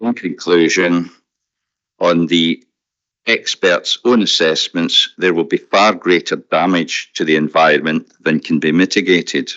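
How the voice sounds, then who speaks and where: His pace is fairly slow. The man's volume holds very even. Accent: Scottish. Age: 70s. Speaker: objector at a public inquiry. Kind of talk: reading a formal statement at a public inquiry. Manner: formal; halting with fillers.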